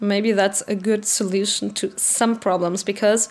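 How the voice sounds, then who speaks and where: Fairly high in pitch, a woman speaks with a German accent. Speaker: vlogger. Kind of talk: casual rant to camera. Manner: halting.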